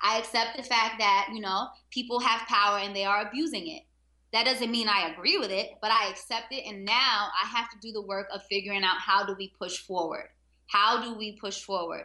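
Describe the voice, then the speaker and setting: Using an ordinary speaking voice, a woman with an American accent talks at a fairly high pitch and a fairly quick pace. Her pitch varies in an ordinary way, and her loudness swings a lot. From Harlem, New York City. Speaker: teacher. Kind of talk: casual interview.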